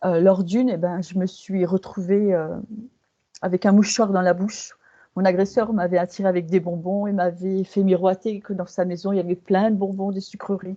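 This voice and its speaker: A woman speaks in a dark, mellow tone at a moderate pace. Her intonation is monotone and flat. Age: 60s. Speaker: hypnosis client. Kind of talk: testimony. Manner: halting.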